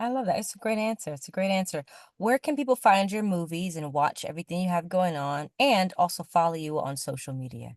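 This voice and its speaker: With an American accent, a woman speaks fairly quickly in a fairly low, animated voice with lively intonation. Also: quiet background. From Florida. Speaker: podcast host and filmmaker. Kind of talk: interview. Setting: on the road, away from studio.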